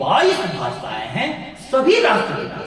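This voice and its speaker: Through noticeable background noise and audible room echo, a man speaks with a Bihari accent. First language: Bhojpuri (speaking Hindi). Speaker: professor. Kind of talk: lecture.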